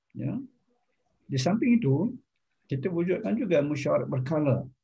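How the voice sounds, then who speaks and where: Somewhat breathy, a man with a Malaysian accent speaks at a fairly slow pace. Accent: Malaysian Malay. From Selangor, Malaysia. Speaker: retired professor. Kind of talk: formal interview. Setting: video call. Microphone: video call.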